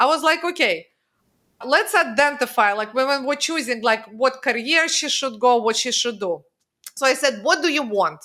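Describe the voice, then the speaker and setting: A woman speaks at a moderate pace in a high-pitched, raised and projected voice with a bright, sharp tone. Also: lively intonation. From Russia. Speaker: financial strategist. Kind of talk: podcast interview.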